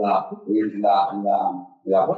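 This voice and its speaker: A man talks with a Spanish accent and ordinary pitch variation. The room adds audible echo. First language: Spanish (speaking French). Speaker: wine laboratory director. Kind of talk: conference presentation. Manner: halting, many hesitations.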